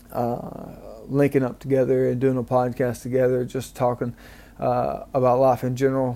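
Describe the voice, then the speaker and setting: With a Southern US accent, the speaker has a dark, mellow tone and talks at a moderate pace in a monotone, flat intonation. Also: man. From Mississippi, US South. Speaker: podcast host. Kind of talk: solo rambling monologue. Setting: hotel room, recorded on a tablet with earbuds. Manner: rambling, halting, repeats himself, humble.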